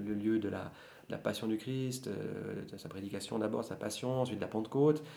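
A man with a dark, mellow tone at a moderate pace, with audible room echo. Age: 40s. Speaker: bookseller and law scholar. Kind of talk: casual chat.

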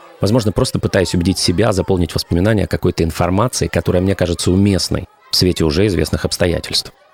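Very fast and very even in loudness, a man's very deep, low voice comes through with fairly even intonation and a dry, close sound with no echo, though there is noticeable background noise. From Ukraine. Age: 40s. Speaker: podcast host, former radio and TV presenter. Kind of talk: scripted narration.

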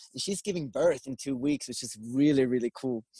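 A man with a Swedish accent speaks at a fairly quick pace, his pitch swinging very widely. The tone is dark and mellow, the sound dry and close with no echo, over a quiet background. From Sweden. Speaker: filmmaker. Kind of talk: casual chat.

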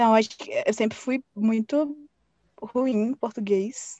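A woman has a plain, everyday voice, fairly high in pitch with fairly even intonation. She speaks at a fairly slow pace, and the sound is dry and close with no echo. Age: 20s. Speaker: fanfiction writer. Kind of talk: interview.

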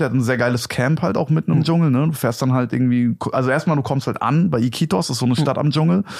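An ordinary speaking voice carries ordinary pitch variation. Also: man. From Hesse, Germany (Gelnhausen near Frankfurt). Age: 20s. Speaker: stand-up comedian. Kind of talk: casual chat. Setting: at the host's home.

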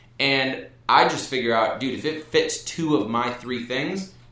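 Energetic in tone, a man speaks amid noticeable background noise and audible room echo. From Wisconsin (Brookfield, near Milwaukee). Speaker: sales entrepreneur. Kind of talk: casual interview.

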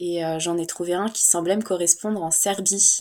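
A woman's fairly low voice at a very slow pace, monotone and flat. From Paris region, France. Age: 20s. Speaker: traveler sharing a meditation retreat experience. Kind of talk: casual interview, personal story.

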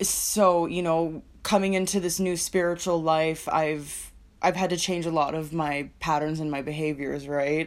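Over a very clean recording with a silent background, a woman with a very deep, low pitch speaks at a fairly slow pace with hardly any pauses. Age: 20s. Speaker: podcaster and peer support specialist. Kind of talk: casual solo chat. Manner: giggly.

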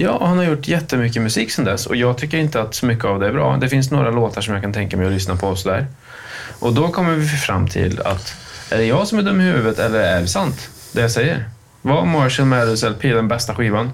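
In a room with audible echo and noticeable background noise, a man at medium pitch speaks with lively intonation and very even loudness. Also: fairly quick pace. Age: 30s. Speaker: podcast co-host. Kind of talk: casual chat.

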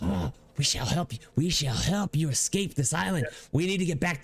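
Hissing runs through the clip as a man with a fairly high pitch performs a put-on character voice at a moderate pace. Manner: pleading, eager.

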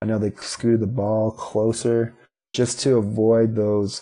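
Against a quiet background, a man talks at a fairly slow pace in a fairly low pitch, his tone dark and mellow and his intonation monotone and flat. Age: 20s. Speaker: motivational speaker, spinal cord injury survivor. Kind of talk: interview.

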